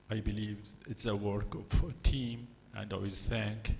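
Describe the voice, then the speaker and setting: Somewhat breathy and fairly low-pitched, a man talks at a fairly slow pace. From Syria. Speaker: physician, conference speaker. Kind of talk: conference presentation.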